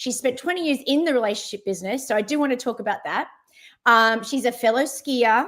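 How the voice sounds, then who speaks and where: With an Australian accent, a woman speaks at a moderate pace with ordinary pitch variation on a very clean recording with a silent background. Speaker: travel platform CEO, livestream host. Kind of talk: live interview. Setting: livestream.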